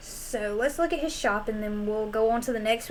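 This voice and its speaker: A woman with a Southern US accent speaks at a moderate pace in a relaxed tone, her fairly high voice showing ordinary pitch variation. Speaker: gaming streamer. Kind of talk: casual gameplay commentary.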